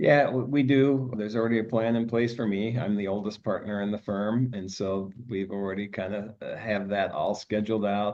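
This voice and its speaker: Fairly low in pitch, a man uses a plain, everyday voice with fairly even intonation, a moderate pace and hardly any pauses. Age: 60s. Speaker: tax firm co-founder and partner. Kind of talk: podcast interview.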